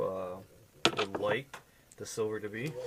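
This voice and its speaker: Over noticeable background noise, a man talks at a fairly slow pace in a medium pitch with fairly even intonation. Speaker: custom lure painter. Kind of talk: tutorial. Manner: casual, with filler words.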